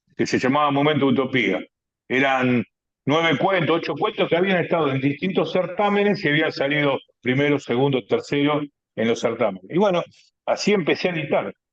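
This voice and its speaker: With lively intonation and very even loudness, a man speaks at a fairly quick pace in a fairly high pitch. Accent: Rioplatense. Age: 60s. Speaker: writer. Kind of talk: radio interview.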